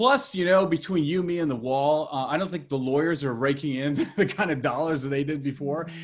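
Speaking at a fairly quick pace, a man with an ordinary speaking voice sits fairly high in pitch and varies it normally. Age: 50s. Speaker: technology lawyer and podcast host. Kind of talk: interview.

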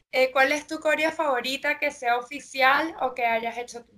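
Her voice is high in pitch with a bright, sharp tone, as the woman speaks at a moderate pace with fairly even intonation. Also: big swings in loudness. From Venezuela. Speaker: interviewer, fitness dance instructor. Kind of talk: interview.

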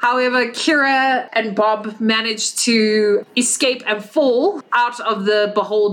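Fairly even intonation in a natural reading voice.

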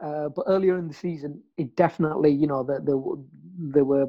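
At a fairly quick pace, a man speaks with a fairly high pitch. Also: fairly even intonation.

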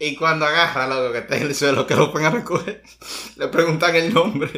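A man talks at a fairly quick pace with a fairly high pitch and ordinary pitch variation. Noticeable background noise runs under his voice. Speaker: podcast co-host. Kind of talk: casual chat.

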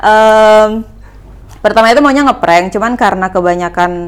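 Her pace is moderate. The woman's pitch moves in an ordinary way. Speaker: YouTuber. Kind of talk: casual chat.

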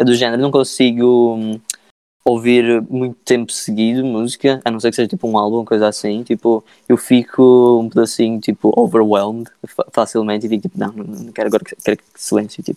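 Dry and close with no echo, a man's dark, mellow voice at a medium pitch moves at a fairly quick pace, with fairly even intonation and big swings in loudness. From Madeira, Portugal. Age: 20s. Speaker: musician. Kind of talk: casual interview. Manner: halting, many fillers.

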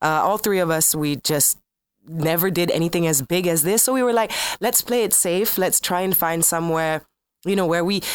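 In a very clean recording with a silent background, a woman with an ordinary speaking voice talks at a fairly quick pace, her fairly low pitch showing ordinary pitch variation. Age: 30s. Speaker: bar owner, former radio host. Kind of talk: casual interview.

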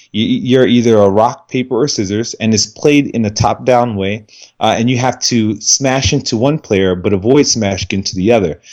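A man with a normal speaking voice talks at a fairly quick pace, his medium pitch moving with ordinary variation. The background is quiet. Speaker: indie game developer. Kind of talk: casual chat.

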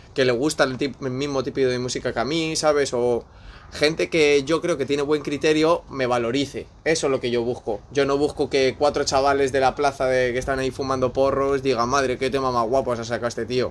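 Speaking at a fairly quick pace, a man with a medium-pitched voice keeps his intonation monotone and flat. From Spain. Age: 20s. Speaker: aspiring musician, former DJ. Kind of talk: casual chat.

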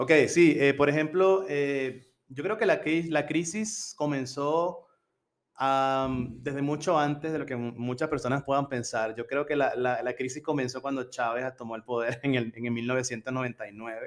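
Recorded very cleanly with a silent background, a plain, everyday voice moves at a fairly slow pace with ordinary pitch variation. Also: man, fairly high pitch for a man. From Venezuela, Coro (Falcón state). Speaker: university language teacher, international student. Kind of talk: casual interview.

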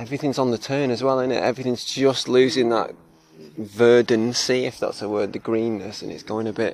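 A man with a Cheshire accent speaks at a fairly quick pace. His pitch is medium and his intonation fairly even. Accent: northern English (Cheshire). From northern England (Cheshire). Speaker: podcast co-host. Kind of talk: casual chat. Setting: outdoors, on a walk.

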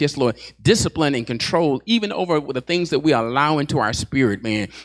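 The sound is dry and close with no echo as a man speaks at a medium pitch and moderate pace, animated in tone with lively intonation. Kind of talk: sermon, preacher in full flow. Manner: animated, call-and-response, fervent; punctuated by repeated 'Yes, Lord' affirmations.

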